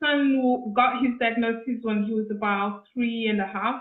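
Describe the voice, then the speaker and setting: A woman with a high pitch talks in fairly even intonation. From Kenya, Nairobi. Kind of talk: interview.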